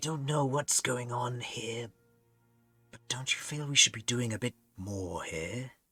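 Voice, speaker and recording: A quiet, put-on character voice moves at a fairly slow pace over faint background music. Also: man, medium pitch for a man. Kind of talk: tabletop role-play. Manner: hushed, conspiratorial.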